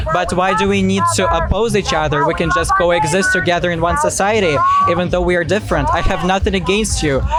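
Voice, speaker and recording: Over noticeable background noise and audible room echo, a man talks at a very fast pace with very even loudness. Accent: non-native. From outside the US. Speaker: student. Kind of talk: street debate.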